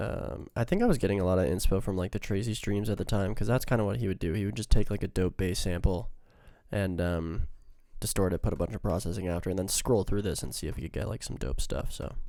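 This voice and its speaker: A man speaks very fast in a fairly low, dark, mellow voice with vocal fry and ordinary pitch variation, on a very clean recording with a silent background. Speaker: music producer. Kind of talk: tutorial. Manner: casual, filler-heavy.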